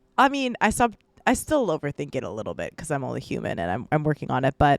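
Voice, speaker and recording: With vocal fry, a woman speaks at a very fast pace in a dry, close sound with no echo. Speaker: lifestyle vlogger. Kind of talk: casual monologue. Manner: hesitant, many fillers.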